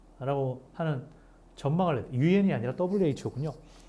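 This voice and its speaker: This man's voice sits fairly high in pitch, with a dark, mellow tone and a somewhat breathy quality. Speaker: pastor. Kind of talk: bible study lecture. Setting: cold recording room. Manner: fast.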